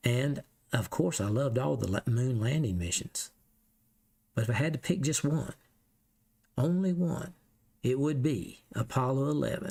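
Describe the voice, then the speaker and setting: A man with a Southern US accent has a dark, mellow, somewhat breathy tone and lively intonation. He keeps a moderate pace but takes long, frequent pauses. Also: medium pitch for a man, very even loudness. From US South. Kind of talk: casual Q&A.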